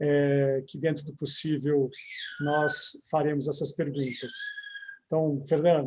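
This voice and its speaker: With a São Paulo accent, a man speaks at a fairly slow pace, his fairly high pitch held in monotone, flat intonation. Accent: São Paulo (paulistano). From São Paulo city, Brazil. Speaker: lawyer, commission president and event host. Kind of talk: panel event moderation. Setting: live online event.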